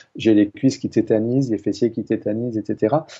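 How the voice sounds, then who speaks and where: A man at medium pitch with fairly even intonation and a moderate pace. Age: 60s. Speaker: water expert and author. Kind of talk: interview. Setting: TV studio. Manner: hesitant, many repetitions.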